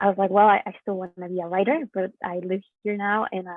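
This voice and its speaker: A woman with a Spanish accent, medium in pitch and very fast in pace. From Mexico. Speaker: poet. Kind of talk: panel discussion. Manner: halting, many fillers.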